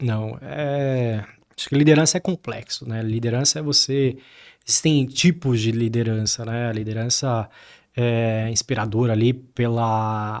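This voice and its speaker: A man with a normal speaking voice at medium pitch, a fairly slow pace and ordinary pitch variation. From Brazil, Diadema (São Paulo). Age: 30s. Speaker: tech company co-founder and CTO. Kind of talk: interview.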